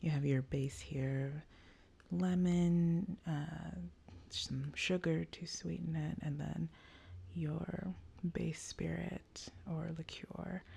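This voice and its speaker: Soft-spoken delivery at a very slow pace, with long, frequent pauses. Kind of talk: ASMR cocktail-history talk, soft-spoken book walkthrough.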